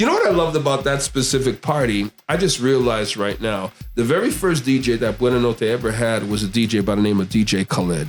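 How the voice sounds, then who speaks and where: A man with a medium-pitched voice speaks in an animated tone at a very fast pace with lively intonation, hardly any pauses and very even loudness, while music plays in the background. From Quebec, Montreal area. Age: 50s. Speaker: DJ and radio host. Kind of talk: casual interview chat. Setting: studio.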